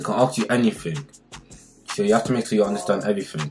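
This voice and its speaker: A man speaks with clear music playing in the background. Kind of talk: casual vlog chat. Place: home room. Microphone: camera far.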